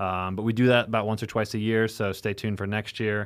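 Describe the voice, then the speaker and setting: This man talks at a fairly quick pace with a normal speaking voice. His intonation is fairly even, with an American accent. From US Midwest, rural Illinois. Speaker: sommelier and wine bar owner. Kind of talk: casual chat.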